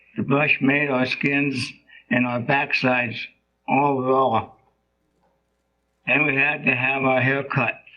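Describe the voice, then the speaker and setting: Speech comes at a very slow pace with long, frequent pauses, very even loudness and monotone, flat intonation. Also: man, fairly high pitch for a man. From South Dakota, Rosebud Reservation (Lakota). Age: 70s. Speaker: boarding school survivor. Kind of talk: testimony. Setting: congressional hearing. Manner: formal.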